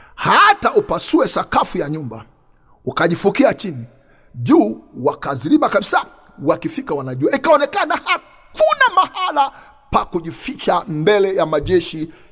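With music in the background, a man keeps to a moderate pace. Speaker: preacher. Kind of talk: sermon. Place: studio. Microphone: studio mic.

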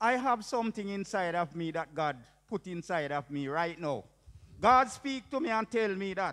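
The tone is bright and sharp, the intonation lively and the pace moderate, all over a quiet background. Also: man, high pitch for a man. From Jamaica. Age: 60s. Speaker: preacher. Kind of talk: testimony. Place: church. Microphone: handheld.

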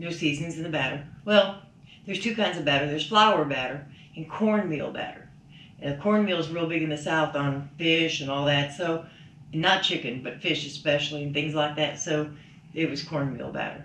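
A woman's very deep, low voice at a moderate pace, with ordinary pitch variation, audible room echo and light background noise. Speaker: vlogger's mother. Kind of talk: casual vlog chat. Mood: wry, mildly critical food review. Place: home room.

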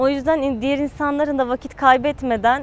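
A high-pitched woman's voice at a moderate pace, dry with no echo. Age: 20s. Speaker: patient, university student. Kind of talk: testimony. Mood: positive, relieved. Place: garden.

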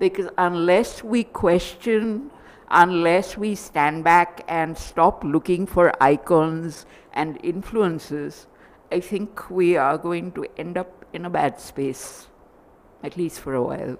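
Very slowly, a woman speaks in a fairly low voice. Her pitch variation is ordinary. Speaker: author. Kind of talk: panel discussion. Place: hall.

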